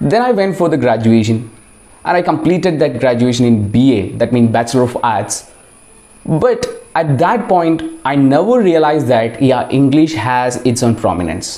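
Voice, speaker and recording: With a Keralan accent, the speaker keeps a moderate pace, lively intonation and very even loudness against noticeable background noise. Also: man, medium pitch for a man. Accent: Indian English, Malayali. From Kerala, India. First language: Malayalam. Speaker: English teacher and video creator. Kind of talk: casual personal talk to camera.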